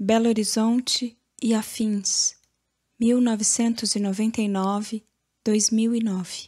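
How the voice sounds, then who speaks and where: Very slowly and in a monotone, flat intonation, a woman speaks with a fairly high pitch, a dark, mellow tone and a somewhat breathy quality on a very clean recording with a silent background. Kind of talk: audiobook literary reading.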